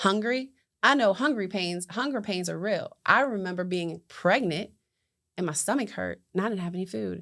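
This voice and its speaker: On a very clean recording with a silent background, a woman at medium pitch talks at a moderate pace with lively intonation. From West Virginia, rural small town. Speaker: entrepreneur and community advocate. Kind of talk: interview testimony.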